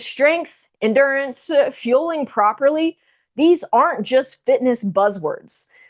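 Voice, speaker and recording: A woman speaks in an American accent against a quiet background. Her intonation is lively. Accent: Texan, noticeable, thicker when fast. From Texas. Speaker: strength and nutrition coach. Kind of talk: online masterclass presentation.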